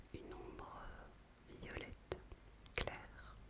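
A woman amid loud background noise. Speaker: natural-care vlogger. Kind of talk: casual vlog chat. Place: bathroom. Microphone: phone near.

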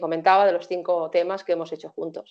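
The setting is quiet. A woman's voice is heard. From Spain, Barcelona; Catalonia, Spain. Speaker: singer; interviewee. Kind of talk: interview. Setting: video call. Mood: calm, warm. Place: home room. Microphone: video call.

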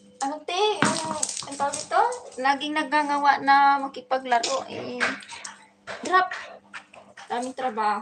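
With noticeable background noise, a woman speaks in a high pitch with ordinary pitch variation, big swings in loudness and long, frequent pauses. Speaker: vlogger, domestic worker. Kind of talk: casual livestream chat while playing with dog. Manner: animated.

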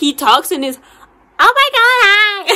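Delivered at a fairly slow pace, this put-on character voice sits at an extremely high pitch. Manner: gleeful, mock-menacing.

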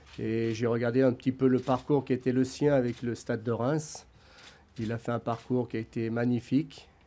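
At a moderate pace, the voice has a dark, mellow tone and a monotone, flat intonation. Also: man, medium pitch for a man. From France. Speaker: football club adviser, former coach; former coach. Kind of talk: press conference. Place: meeting room. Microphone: podium.

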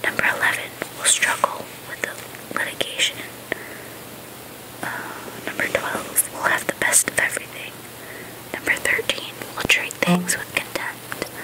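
Someone whispers at a fairly slow pace, leaving long, frequent pauses over noticeable background noise. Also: woman. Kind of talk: ASMR book reading. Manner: soft-spoken, casual.

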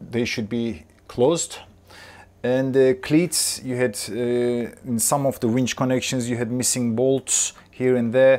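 Slow pace, fairly even intonation and a slightly mellow tone. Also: man, medium pitch for a man.

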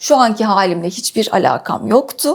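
A woman talks with lively intonation. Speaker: patient sharing illness story. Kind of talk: interview testimony.

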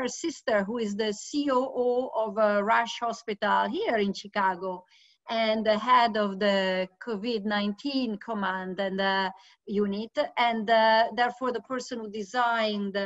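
Against a quiet background, a woman talks at a fairly slow pace with fairly even intonation. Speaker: host introducing a guest. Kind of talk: event introduction. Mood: warm, admiring. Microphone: video call.

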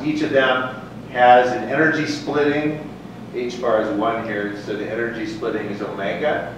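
Strong room echo and noticeable background noise surround a man's voice. He speaks at a moderate pace. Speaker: lecturer. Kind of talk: lecture. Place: hall.

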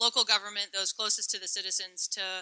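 Against a quiet background, a woman talks at a fairly quick pace in a bright, sharp tone. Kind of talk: public address announcement. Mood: light, joking. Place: hall. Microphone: podium.

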